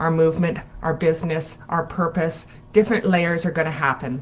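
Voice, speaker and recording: This woman's voice sits fairly low in pitch. She talks at a moderate pace. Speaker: spiritual coach. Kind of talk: live stream talk. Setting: at home, live video.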